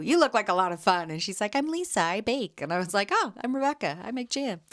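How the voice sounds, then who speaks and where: A woman talks at a fairly quick pace. Her tone is animated. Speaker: podcast host and jam vendor. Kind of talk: casual solo podcast chat. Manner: loud.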